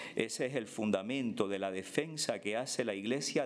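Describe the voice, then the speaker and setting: With lively intonation and an unremarkable speaking voice, the man speaks fairly slowly at a medium pitch. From Cuba. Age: 50s. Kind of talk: prepared speech read aloud at a panel. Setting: conference panel. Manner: formal.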